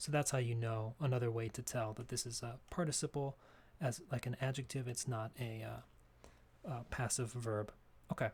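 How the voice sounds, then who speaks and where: Somewhat breathy and medium in pitch, a man talks at a moderate pace with fairly even intonation and long, frequent pauses. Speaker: English grammar teacher. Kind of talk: tutorial. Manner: halting.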